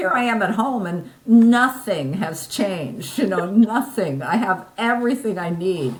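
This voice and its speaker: Very wide pitch swings mark this woman's medium-pitched voice. Audible room echo and noticeable background noise come through. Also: fairly slow pace. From US Northeast, New Jersey. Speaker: podcast interview guest, online fitness poster. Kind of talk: casual interview chat. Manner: halting, frequent repeated words.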